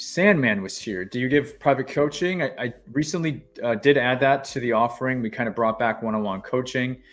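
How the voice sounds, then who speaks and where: A man talks at a fairly quick pace, using ordinary pitch variation. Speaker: government contracting coach. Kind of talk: live stream tutorial. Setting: live stream. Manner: fast. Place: home room.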